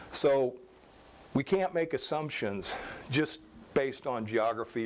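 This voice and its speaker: Over light background noise, a man with an American accent speaks with lively intonation. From US Midwest, southeast Nebraska. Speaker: agronomist; presenter. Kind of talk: lecture. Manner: halting. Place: meeting room. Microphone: handheld.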